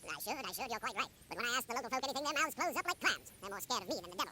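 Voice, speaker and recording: A man's put-on character voice at an extremely high pitch, very fast and with lively intonation, over clear background noise. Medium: video game. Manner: blunt, brisk.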